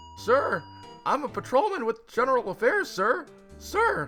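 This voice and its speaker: Over clear music in the background, a man uses a put-on character voice at an extremely high pitch and a moderate pace. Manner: loud, strained, deferential.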